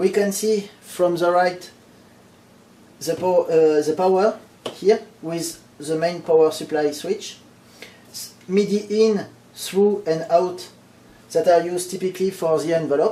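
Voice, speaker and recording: Over noticeable background noise, the speaker talks at a fairly slow pace with a strong non-native accent, fairly even intonation and long, frequent pauses. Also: man, high pitch for a man. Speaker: electronics hobbyist. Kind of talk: technical explanation to camera. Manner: casual, hesitant with fillers.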